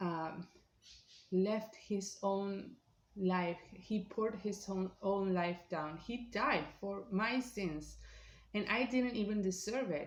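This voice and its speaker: A woman speaks at a very slow pace with a non-native accent. Her voice is somewhat breathy, with ordinary pitch variation. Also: medium pitch for a woman. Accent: non-native accent, self-remarked. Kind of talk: personal testimony. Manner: halting, many fillers.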